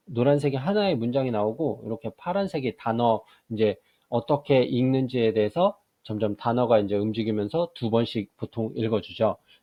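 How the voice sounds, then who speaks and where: Ordinary pitch variation and a moderate pace from a man of medium pitch with a plain, everyday voice. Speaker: math teacher giving software tutorials. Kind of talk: screen-recorded tutorial.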